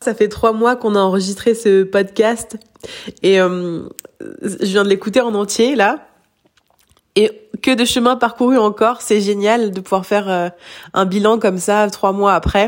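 A woman's medium-pitched voice at a fairly slow pace, with long, frequent pauses and fairly even intonation. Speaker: hypnotherapist. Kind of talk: recorded voice message update. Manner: halting, repetitions.

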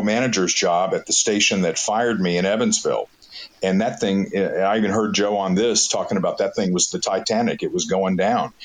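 Speaking at a moderate pace over noticeable background noise, a man keeps his loudness very even. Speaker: radio program director and morning host. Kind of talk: interview. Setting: live audio chat room.

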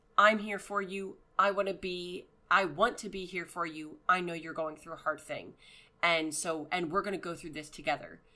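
In an American accent, a woman with a fairly low pitch and a bright, sharp tone speaks at a moderate pace, her loudness swinging widely. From Pennsylvania. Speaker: veteran's wife, podcast co-host. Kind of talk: casual chat. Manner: laughs often.

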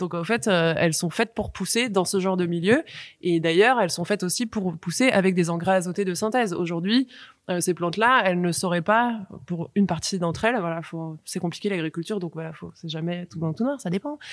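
A woman with an unremarkable speaking voice, fairly low-pitched, talking at a fairly quick pace with ordinary pitch variation. The recording is very clean, with a silent background. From France, Paris suburbs. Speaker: activist and former finance professional. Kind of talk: casual discussion.

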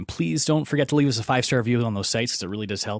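A normal speaking voice with a Canadian accent. The recording is very clean, with a silent background. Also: man. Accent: general Canadian. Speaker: podcast host. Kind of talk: casual interview chat.

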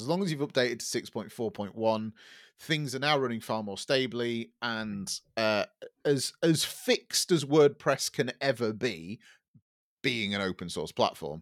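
The speaker talks at a fairly slow pace in an English accent. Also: man. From England. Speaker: podcast co-host, web developer. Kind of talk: casual chat. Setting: remote call.

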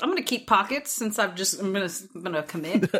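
A woman speaks in an animated tone at a fairly quick pace. Noticeable background noise runs behind her. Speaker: podcast co-host. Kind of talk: casual chat. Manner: animated, chatty.

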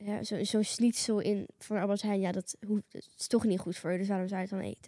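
At a moderate pace and medium pitch, a woman speaks in a monotone, flat way, recorded with a dry, close sound and no echo. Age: young. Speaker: podcast sidekick. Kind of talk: casual chat.

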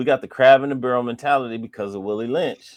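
A man's medium-pitched voice with ordinary pitch variation over a quiet background. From United States. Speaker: former pro soccer player and music industry professional. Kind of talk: casual chat. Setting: call.

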